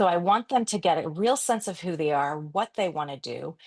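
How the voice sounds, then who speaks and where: A woman with a plain, everyday voice, fairly low pitch and moderate pace, dry and close with no echo, quiet background. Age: 50s. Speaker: photographer and branding coach. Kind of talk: podcast interview.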